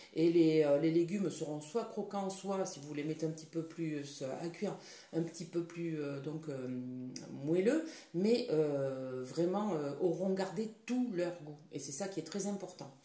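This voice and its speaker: Someone speaks very slowly with long, frequent pauses and ordinary pitch variation, with audible room echo. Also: woman, fairly low pitch for a woman. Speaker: product demonstrator. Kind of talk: tutorial. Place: kitchen. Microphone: phone near.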